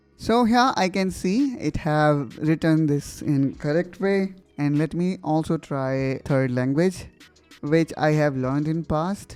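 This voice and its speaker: Delivered at a very slow pace with an Indian accent, this voice has ordinary pitch variation and music playing in the background. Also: man, fairly high pitch for a man. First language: Hindi. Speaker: tech tutorial youtuber. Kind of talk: tutorial.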